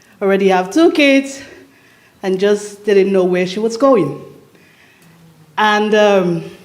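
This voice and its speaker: A woman at a medium pitch talks at a very slow pace with ordinary pitch variation, with noticeable background noise and audible room echo. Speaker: speaker at women's retreat. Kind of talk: personal testimony. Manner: loud; halting.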